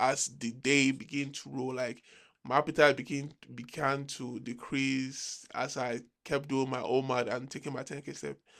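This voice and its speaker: A man speaks at a moderate pace in a monotone, flat intonation. The recording is very clean, with a silent background. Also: medium pitch for a man. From Nigeria. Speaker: vlogger. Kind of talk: casual monologue. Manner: halting.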